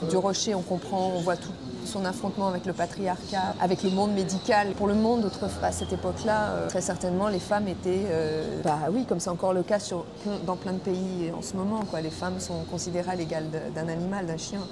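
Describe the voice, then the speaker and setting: A woman at medium pitch, fairly quick and flat in a monotone, with audible room echo and noticeable background noise. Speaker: actress. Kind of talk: film interview. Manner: halting, with fillers.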